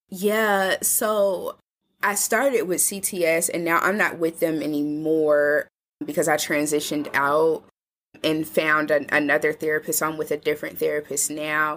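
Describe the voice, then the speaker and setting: The speaker has an American accent and talks at a moderate pace. Pitch moves up and down an ordinary amount. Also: woman, very deep, low pitch for a woman. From Indianapolis, US Midwest. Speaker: journalist and community health worker. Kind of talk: casual interview conversation.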